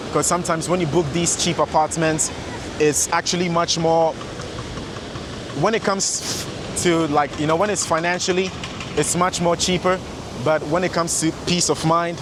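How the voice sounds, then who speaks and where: Noticeable background noise behind a man's fairly high voice, fairly even in intonation, at a moderate pace. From Sweden, born in Ghana. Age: 20s. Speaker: vlogger and fitness coach. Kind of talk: walking vlog talk to camera. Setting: outdoors, walking by the beach.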